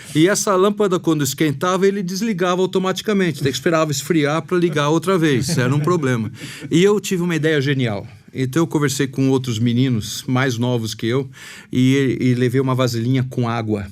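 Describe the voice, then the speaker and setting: Noticeable background noise sits behind a man speaking at a fairly high pitch with lively intonation. His pace is fairly quick and his loudness very even. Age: 60s. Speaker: podcast host. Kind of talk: casual interview chat.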